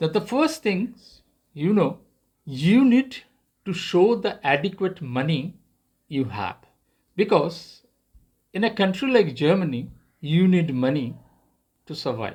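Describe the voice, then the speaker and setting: A man's high-pitched voice in a non-native accent, fairly slow pace, long, frequent pauses, very wide pitch swings and a very clean recording with a silent background. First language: not English. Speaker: YouTuber. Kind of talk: tutorial. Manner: halting.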